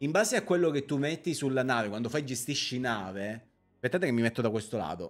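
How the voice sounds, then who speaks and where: Faint music plays in the background as a man speaks with lively intonation. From Sicily, Palermo; Sicily. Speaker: streamer. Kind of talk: live gameplay stream chat. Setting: live stream. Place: home room. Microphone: studio mic.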